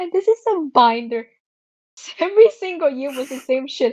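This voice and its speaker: Here a woman speaks in a high pitch. Her intonation is lively. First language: not English (English is third language). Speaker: podcast co-host. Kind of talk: casual chat.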